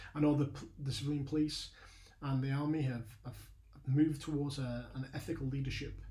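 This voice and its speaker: Monotone, flat speech comes at a fairly quick pace in a Lancashire accent, with a dark, mellow tone. The voice is somewhat breathy, and room echo is audible. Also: man, fairly high pitch for a man. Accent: Burnley accent, noticeable. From northern England, Burnley, Lancashire. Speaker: leadership mentor, ex-army. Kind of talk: lecture. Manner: halting, many fillers.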